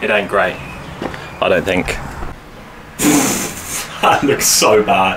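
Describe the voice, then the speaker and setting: There is noticeable background noise as a man speaks at a moderate pace. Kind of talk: casual vlog chat. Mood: self-doubting, joking. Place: workshop. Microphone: camera far.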